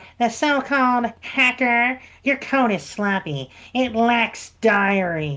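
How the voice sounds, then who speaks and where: A woman puts on a character voice, fairly high in pitch, with lively intonation at a fairly slow pace. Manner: pedantic, geeky.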